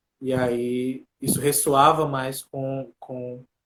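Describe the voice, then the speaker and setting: A man's voice, fairly high in pitch. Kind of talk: casual chat.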